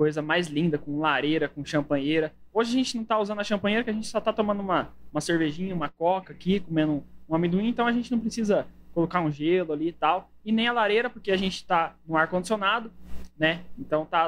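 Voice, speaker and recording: This man's voice sits high in pitch. He talks at a very fast pace. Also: ordinary pitch variation. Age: 20s. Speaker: podcast host. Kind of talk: casual chat.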